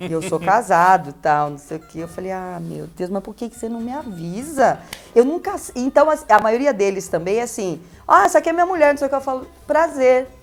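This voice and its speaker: A woman's fairly high voice at a moderate pace, with very wide pitch swings and big swings in loudness, music in the background. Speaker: radio host. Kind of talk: interview answer. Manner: chatty, conversational.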